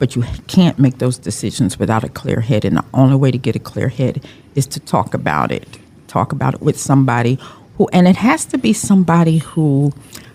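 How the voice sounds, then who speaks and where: Lively intonation and a fairly quick pace mark this speech, heard against noticeable background noise. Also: woman, very deep, low pitch for a woman. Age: 60s. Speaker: domestic abuse survivor. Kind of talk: testimony.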